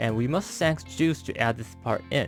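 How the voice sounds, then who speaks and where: Against music in the background, a man at a medium pitch talks at a fairly quick pace, his pitch swinging very widely. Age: 40s. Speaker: toy collector and photographer. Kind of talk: unboxing product review. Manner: uneven, wandering intonation.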